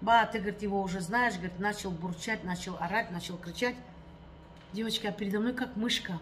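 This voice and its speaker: Against light background noise, a woman talks at a fairly quick pace with fairly even intonation. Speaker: vlogger. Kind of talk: casual vlog chat. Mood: aggrieved, complaining. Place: home room. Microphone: phone near.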